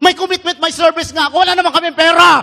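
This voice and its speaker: A man raises and projects his voice, its tone bright and sharp. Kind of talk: sermon. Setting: church Mass. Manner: emphatic.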